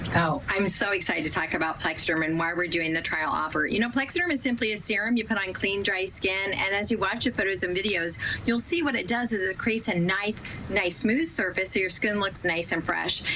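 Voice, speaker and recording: A woman speaks at a fairly quick pace in a medium pitch with ordinary pitch variation and very even loudness, over noticeable background noise. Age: 60s. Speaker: product spokesperson. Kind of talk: sales pitch.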